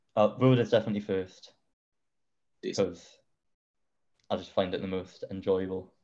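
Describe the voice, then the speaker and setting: Fairly low in pitch, a man talks at a moderate pace with fairly even intonation. Long, frequent pauses break up his speech. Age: young. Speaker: amateur runner. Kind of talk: casual interview.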